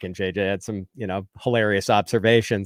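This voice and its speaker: In a Midwestern accent, a man speaks at a fairly quick pace. His pitch is fairly low. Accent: Midwestern twang. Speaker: fantasy football analyst. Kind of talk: podcast interview. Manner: casual, with ums and ahs.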